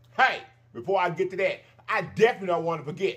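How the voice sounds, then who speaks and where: Lively intonation colors the way a man is speaking. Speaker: mukbang channel host. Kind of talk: casual vlog chat. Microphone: phone near.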